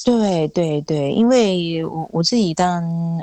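Ordinary pitch variation in a woman's fairly low-pitched voice. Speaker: singer-songwriter. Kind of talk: interview. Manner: unhurried, gentle.

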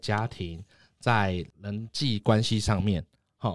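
On a very clean recording with a silent background, this man talks in a medium-pitched voice. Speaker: podcast host. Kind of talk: interview.

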